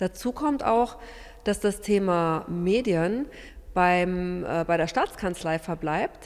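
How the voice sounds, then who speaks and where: The background stays quiet as a woman talks, her pitch varying in an ordinary way. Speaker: opposition politician. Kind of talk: press statement. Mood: disappointed, critical. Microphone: handheld.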